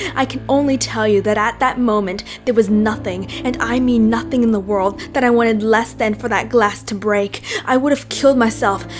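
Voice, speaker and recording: A woman with a fairly high voice speaks at a moderate pace with hardly any pauses. Her intonation is fairly even, and music plays in the background. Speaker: amateur narrator. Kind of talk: horror story reading.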